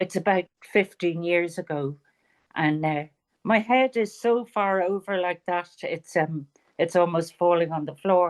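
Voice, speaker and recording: A woman with a fairly low pitch and ordinary pitch variation, at a fairly slow pace over a quiet background. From Ireland, Dublin. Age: 70s. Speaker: author. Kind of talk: interview.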